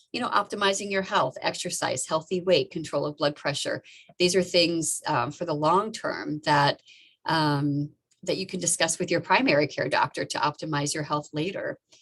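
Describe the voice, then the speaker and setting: A woman speaks with fairly low pitch and ordinary pitch variation. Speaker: obstetrician-gynecologist doctor. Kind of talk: presentation to an online audience. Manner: fast.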